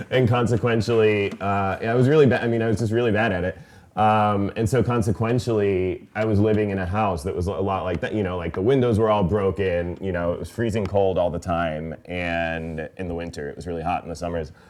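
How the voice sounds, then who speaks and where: A man with an American accent talks at a fairly quick pace in a fairly low voice, with ordinary pitch variation and hardly any pauses. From US, came from Iran at age three. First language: Farsi. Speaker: author and poet. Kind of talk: author talk Q&A. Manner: casual, filler-heavy.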